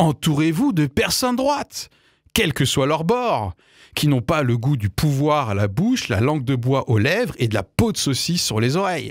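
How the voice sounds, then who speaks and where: At a fairly slow pace, a man with a fairly high pitch makes very wide pitch swings, heard in a dry sound with no echo and a quiet background. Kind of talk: opinion commentary. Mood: wry, critical, earnest. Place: studio. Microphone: studio mic.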